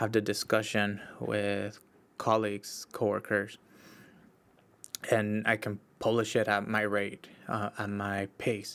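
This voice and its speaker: A man talks with a Spanish accent in a fairly low pitch. His intonation is monotone and flat. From Mexico, Baja California. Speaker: podcast host, social worker. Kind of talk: solo podcast monologue. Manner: casual, with frequent fillers and restarts.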